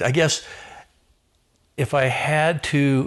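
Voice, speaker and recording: A man talks with an American accent. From Southern California. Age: 60s. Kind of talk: podcast interview.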